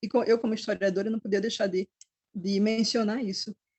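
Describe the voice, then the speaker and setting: A somewhat breathy voice at a fairly quick pace, in a northeastern Brazilian accent. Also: woman. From Northeast Brazil. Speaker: historian. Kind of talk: book club talk. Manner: halting.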